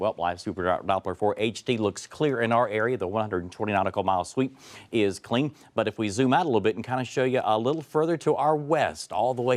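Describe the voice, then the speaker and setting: Here is a man with a normal speaking voice and fairly low pitch. He moves at a fairly quick pace with lively intonation. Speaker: TV weather forecaster. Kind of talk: TV morning weather broadcast. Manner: clear, professional, conversational.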